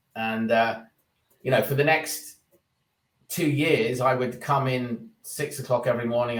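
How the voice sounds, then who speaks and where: A man with a British accent speaks at a fairly slow pace, his intonation fairly even. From England. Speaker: recruitment business executive. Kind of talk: interview. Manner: halting.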